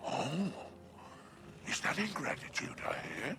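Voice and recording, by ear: Over faint music in the background, a man puts on a character voice with a fairly high pitch, a bright, sharp tone and vocal fry. He speaks slowly, with big pitch swings.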